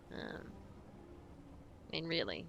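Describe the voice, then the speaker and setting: Her pace is fairly quick. The woman speaks with an Australian accent. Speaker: video game streamer. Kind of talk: live game commentary. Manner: casual.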